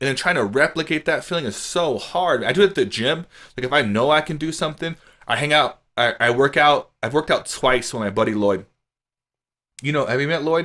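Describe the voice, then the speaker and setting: A man's fairly high, bright, sharp voice at a fairly quick pace, in a very clean recording with a silent background. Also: ordinary pitch variation. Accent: American. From Louisiana. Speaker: podcast host. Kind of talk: casual chat. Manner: outspoken, loud.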